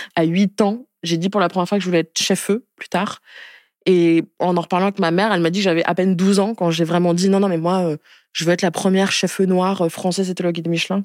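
A woman at medium pitch speaks in a flat monotone at a very fast pace, the sound dry and close with no echo on a very clean recording with a silent background. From France, Spain, Madagascar, Niger (mixed childhood). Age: 20s. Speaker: activist and entrepreneur. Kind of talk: interview. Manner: casual, with many fillers.

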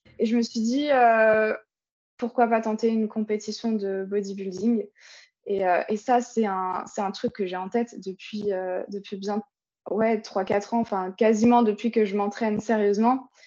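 A woman talks at a fairly high pitch in a monotone, flat intonation. Her pace is fairly slow, with long, frequent pauses. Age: 20s. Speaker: online fitness coach. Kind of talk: casual chat. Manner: halting.

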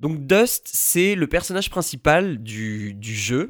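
Here a man talks at a very slow pace, his pitch swinging very widely. The sound is dry and close with no echo, on a very clean recording with a silent background. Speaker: podcast host. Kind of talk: solo podcast review. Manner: hesitant, many fillers.

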